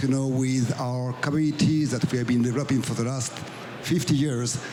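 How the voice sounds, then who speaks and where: Over music in the background, a man's medium-pitched voice carries audible room echo. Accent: French. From France. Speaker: business executive. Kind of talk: panel discussion.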